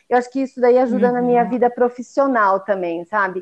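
Against a quiet background, a woman with an unremarkable speaking voice talks at a moderate pace with fairly even intonation. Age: 40s. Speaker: chef and sweets business owner. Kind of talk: casual interview chat. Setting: remote recording in separate rooms.

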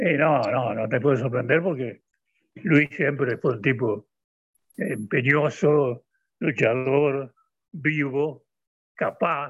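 Very slow pace from a man with a fairly high pitch, ordinary pitch variation, and long, frequent pauses. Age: old. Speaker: retired football commentator. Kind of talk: casual interview. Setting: phone call.

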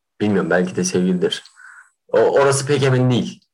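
A man's pitch swings very widely. He speaks at a fairly quick pace. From Kahramanmaraş, Turkey. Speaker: theatre student podcaster. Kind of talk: casual chat. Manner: animated.

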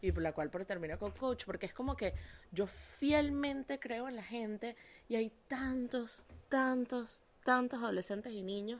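The woman sounds animated at a fairly high pitch. Her pitch varies in an ordinary way. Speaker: podcast host and life coach. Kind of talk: casual chat.

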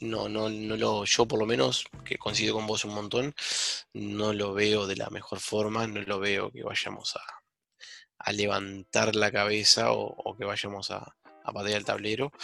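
A man's fairly low, bright, sharp voice moves at a fairly slow pace with fairly even intonation. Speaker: sports podcast co-host. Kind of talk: casual chat. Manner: low, subdued voice.

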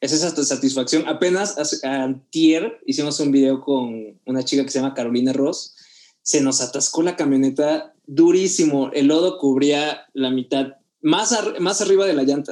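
A man's fairly high, dark, mellow voice with a Mexican accent at a moderate pace. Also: ordinary pitch variation. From Mexico, Oaxaca. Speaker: photographer and videographer. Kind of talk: casual interview.

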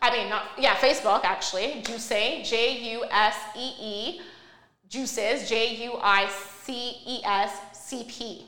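In a room with audible echo, a woman with a Canadian accent speaks very slowly at a fairly high pitch, with ordinary pitch variation and big swings in loudness. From Canada, Montreal. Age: 30s. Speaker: entrepreneur. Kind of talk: casual interview.

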